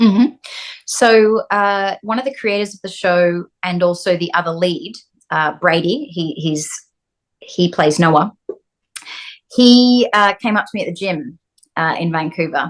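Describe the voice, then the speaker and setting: A woman with an Australian accent, lively intonation, a fairly slow pace and long, frequent pauses. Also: medium pitch for a woman. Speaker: actress. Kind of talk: interview.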